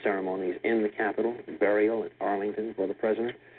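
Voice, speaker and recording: A man speaks at a fairly quick pace. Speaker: news reporter. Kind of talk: live 1960s news broadcast. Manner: formal, grave, measured.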